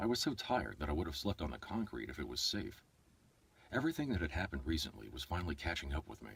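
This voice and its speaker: With a very deep, low pitch and vocal fry, a man talks at a very fast pace. His pitch swings very widely. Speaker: voice-over artist and audiobook narrator. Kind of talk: audiobook narration; casual livestream chat. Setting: livestream from an iPad.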